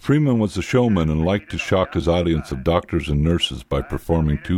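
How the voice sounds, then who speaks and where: A very deep, low male voice at a fairly quick pace over noticeable background noise. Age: 50s. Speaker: lobotomy survivor. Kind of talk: documentary narration.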